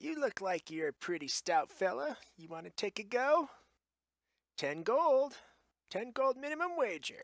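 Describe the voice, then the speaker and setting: A put-on character voice at a fairly high pitch moves at a moderate pace, with very wide pitch swings and long, frequent pauses. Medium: actual play. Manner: salesy, eager.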